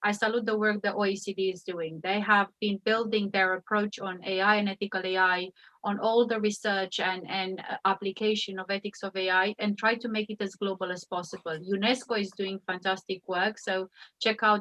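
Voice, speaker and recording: A woman with a Romanian accent talks at a fairly quick pace with hardly any pauses and a monotone, flat intonation. The sound is dry and close, with no echo. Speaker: AI ethics expert. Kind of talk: panel discussion.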